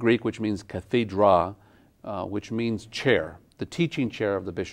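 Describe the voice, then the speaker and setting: In a New Mexican accent, a man with a fairly low pitch speaks at a fairly slow pace. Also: ordinary pitch variation, quiet background. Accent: New Mexican American English. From Santa Fe, New Mexico, USA. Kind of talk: interview answer. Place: studio. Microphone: lapel.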